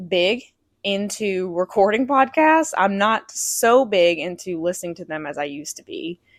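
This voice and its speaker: On a very clean recording with a silent background, a woman with an unremarkable speaking voice talks at a fairly slow pace and medium pitch, her intonation lively. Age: 30s. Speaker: podcast host. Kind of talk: solo podcast monologue; scripted show intro.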